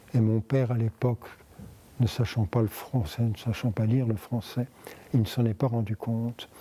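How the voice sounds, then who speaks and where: This man's voice sits at a medium pitch with a dark, mellow tone. It is somewhat breathy, with fairly even intonation. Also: moderate pace. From France, Paris. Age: 80s+. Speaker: interviewee, wartime survivor. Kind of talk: oral history interview. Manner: halting.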